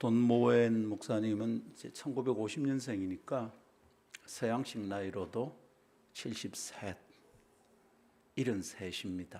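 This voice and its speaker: A man speaks very slowly, with long, frequent pauses. His medium-pitched voice has a dark, mellow tone and ordinary pitch variation. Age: 60s. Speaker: pastor. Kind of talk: sermon.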